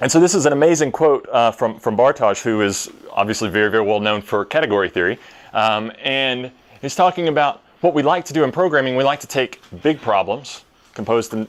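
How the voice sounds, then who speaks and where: This man has a Tennessee accent and a medium pitch. He talks at a fairly quick pace with lively intonation. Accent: Tennessee Southern. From US South, Tennessee. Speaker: software developer, conference speaker. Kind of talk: conference talk. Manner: hesitant, many fillers.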